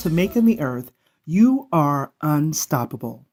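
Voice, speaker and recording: A woman speaks with very wide swings in pitch. Music plays in the background. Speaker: business and sales coach. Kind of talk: podcast intro.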